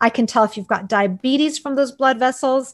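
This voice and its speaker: Against a quiet background, a woman with a Canadian accent talks at a fairly quick pace, her high pitch showing ordinary variation. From Canada, Toronto. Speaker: eye doctor. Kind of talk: interview.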